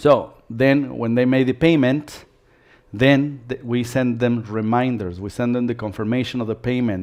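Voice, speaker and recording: Here is an unremarkable speaking voice, with ordinary pitch variation. Its pace is moderate, against a quiet background. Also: man. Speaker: dance studio owner giving business webinar. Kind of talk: live webinar presentation. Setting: live stream webinar.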